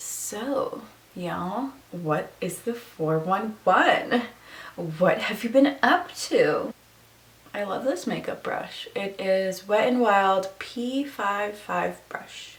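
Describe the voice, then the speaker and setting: Noticeable background noise sits behind the recording. A woman speaks very slowly at medium pitch, her intonation lively. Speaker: beauty and lifestyle vlogger. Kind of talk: casual chat. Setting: home bedroom. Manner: chatty, casual.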